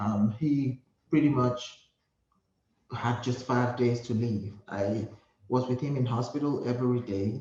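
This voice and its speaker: Speaking with a Nigerian accent, a man talks at a fairly slow pace with long, frequent pauses, his medium-pitched voice dark and mellow in tone, somewhat breathy, and fairly even in intonation. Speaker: hospice nurse. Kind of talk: interview.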